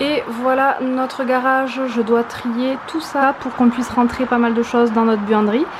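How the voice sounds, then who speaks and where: Speaking at a fairly slow pace with hardly any pauses, a woman with a high pitch and fairly even intonation is heard amid noticeable background noise and audible room echo. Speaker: vlogger. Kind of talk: casual vlog. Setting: garage at home.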